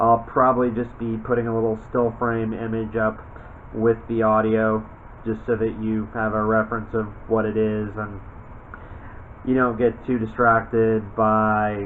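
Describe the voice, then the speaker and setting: Over noticeable background noise, a man speaks slowly-ish at a fairly slow pace and medium pitch, his intonation monotone and flat. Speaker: voice actor. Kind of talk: casual talk to camera.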